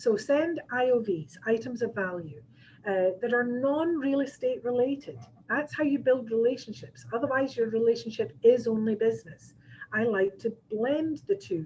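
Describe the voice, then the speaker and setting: Lively in intonation, a woman with a Scottish accent speaks at a moderate pace and a fairly high pitch. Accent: Scottish, noticeable to listeners. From Scotland. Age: 60s. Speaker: real estate agent and trainer. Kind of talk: training seminar. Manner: conversational, with frequent fillers.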